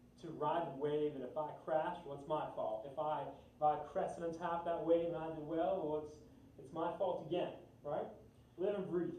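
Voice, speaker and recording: A man speaks at a moderate pace in a fairly high voice with fairly even intonation. There is noticeable background noise and audible room echo. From New York. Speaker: talk show host. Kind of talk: interview.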